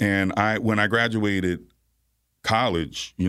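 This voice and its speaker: Here is a man with an American accent and a plain, everyday voice. He talks at a fairly slow pace in a fairly low pitch, on a very clean recording with a silent background. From New York (Bronx) and Virginia. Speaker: atmospheric science professor. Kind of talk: radio interview. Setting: radio studio.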